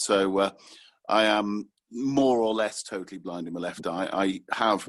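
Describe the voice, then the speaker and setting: A man with a British accent speaks in a fairly low pitch. His intonation stays fairly even against a quiet background. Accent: clear, sharp, cut-glass British, BBC-like. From northern England, Manchester. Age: 20s. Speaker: communication specialist, blind guest. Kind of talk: interview, personal story. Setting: podcast recording. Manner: clear, careful enunciation; hesitant fillers.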